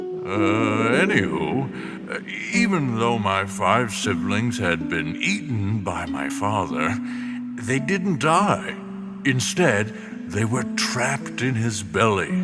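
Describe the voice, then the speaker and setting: A man in a put-on character voice, medium-pitched and fairly slow, with loud music in the background. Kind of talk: comic kids' podcast acting. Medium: audio drama. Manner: grandiose yet casual.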